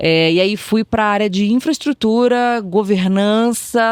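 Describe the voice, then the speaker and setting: A woman in an Espírito Santo accent at medium pitch, with ordinary pitch variation, in a dry, close sound with no echo. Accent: Capixaba (Espírito Santo). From Brazil, Espírito Santo. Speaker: tech executive. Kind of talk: podcast interview.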